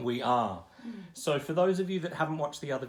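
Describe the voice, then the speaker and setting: A man with an unremarkable speaking voice talks at a fairly quick pace and fairly high pitch, his intonation lively. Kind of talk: interview questions.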